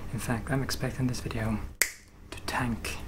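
A man's voice beneath loud background noise. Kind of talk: casual vlog chat. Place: workshop.

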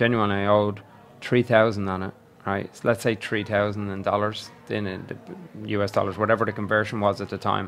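Faint music plays in the background as a man speaks at a moderate pace in an Irish accent. His fairly low voice keeps a monotone, flat intonation. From Ireland. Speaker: podcast co-host. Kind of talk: casual chat. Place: bar. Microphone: studio mic.

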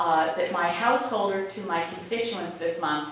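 A woman's voice comes through strong room echo with light background noise. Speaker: politician addressing constituents. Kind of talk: town hall speech. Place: hall.

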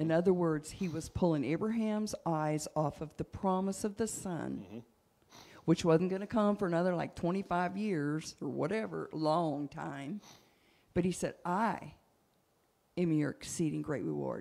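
Using a fairly low pitch and a dark, mellow tone, a woman speaks at a moderate pace with ordinary pitch variation and long, frequent pauses. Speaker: church leader. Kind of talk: sermon. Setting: church. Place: church. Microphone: handheld.

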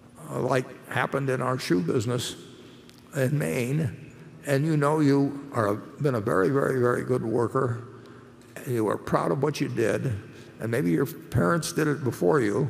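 A man talks at a moderate pace with vocal fry. Long pauses come often. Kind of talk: interview answer. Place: hall. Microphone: podium.

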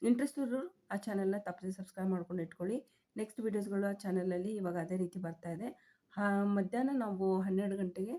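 Her voice sits at a medium pitch, and this woman has a dark, mellow tone with ordinary pitch variation. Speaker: tailoring and small-business YouTuber. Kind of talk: tutorial.

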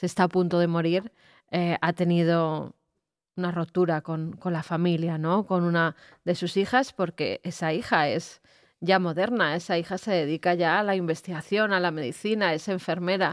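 A woman with a plain, everyday voice speaks at a moderate pace against a quiet background. Her pitch is fairly low and her intonation fairly even. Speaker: co-host. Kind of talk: live show chat. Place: studio. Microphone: studio mic.

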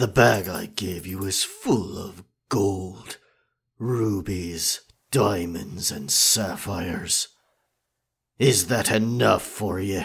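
Putting on a character voice, a man with a fairly low pitch speaks at a very slow pace with long, frequent pauses. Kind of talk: ASMR roleplay. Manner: confident, dominant.

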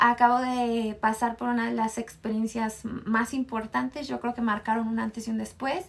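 With vocal fry and little pitch movement, a woman speaks at a fairly high pitch and a moderate pace.

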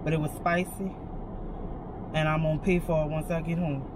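A woman talks at a moderate pace, the sound dry with no echo but with noticeable background noise. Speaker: vlogger waiting for a grocery pickup. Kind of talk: casual vlog chat. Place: car. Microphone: phone near.

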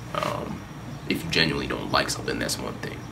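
A man's speech comes with noticeable background noise. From Northern Virginia, US. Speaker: hip-hop artist. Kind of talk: interview. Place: home room.

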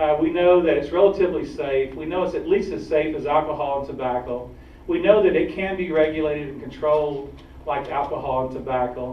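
Using an American accent, a man talks at a fairly quick pace in a fairly high pitch with ordinary pitch variation. His loudness swings widely, and room echo is audible. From Georgia, US. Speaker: activist group director; guest. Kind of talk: public talk. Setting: stage with audience. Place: hall. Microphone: camera far.

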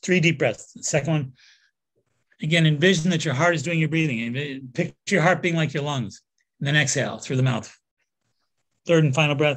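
This man's voice is fairly high-pitched, with ordinary pitch variation. He speaks at a fairly quick pace but takes long, frequent pauses. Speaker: nutritional therapist and energy healer. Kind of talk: guided meditation. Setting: interview.

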